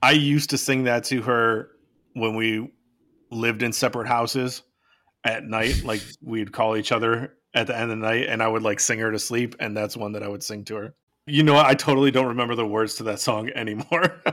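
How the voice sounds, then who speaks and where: The man speaks at a fairly quick pace with a medium pitch. His tone is bright and sharp, and his intonation stays fairly even. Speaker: podcast co-host. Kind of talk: casual chat.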